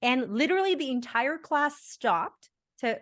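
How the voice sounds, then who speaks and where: A woman speaks at a fairly slow pace in a bright, sharp tone. Her pitch swings very widely against a quiet background. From India, then Bahrain and Canada. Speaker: podcast host. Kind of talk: casual interview conversation.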